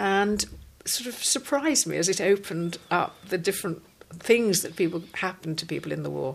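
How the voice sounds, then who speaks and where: The speech comes at a fairly quick pace with lively intonation, over noticeable background noise. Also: woman, medium pitch for a woman. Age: 70s. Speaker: broadcaster and novelist. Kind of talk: interview answer.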